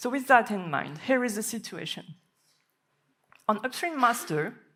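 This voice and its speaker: In a French accent, a woman speaks with a bright, sharp tone, vocal fry and very wide pitch swings. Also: fairly high pitch for a woman, moderate pace. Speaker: software developer. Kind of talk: conference talk.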